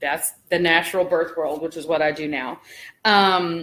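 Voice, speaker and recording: A woman talks in a Southern US accent. The recording is very clean, with a silent background. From US South. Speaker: birth doula and vlogger. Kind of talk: casual vlog chat. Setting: at home folding laundry. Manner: chatty, many fillers.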